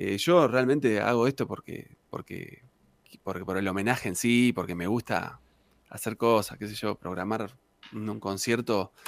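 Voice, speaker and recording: Heard in a dry, close sound with no echo, a man talks at a fairly slow pace in a normal speaking voice that is fairly low, with ordinary pitch variation. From Argentina, Santa Cruz (Patagonia). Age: 40s. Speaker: tango singer and guitarist. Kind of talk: casual interview chat.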